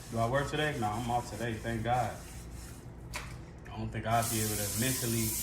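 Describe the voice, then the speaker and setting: A man's relaxed, medium-pitched voice with an American accent, fairly quick pace and monotone, flat intonation, amid audible room echo and noticeable background noise. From Chicago, South Side. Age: 30s. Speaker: livestreamer. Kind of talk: casual chat. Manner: relaxed, conversational.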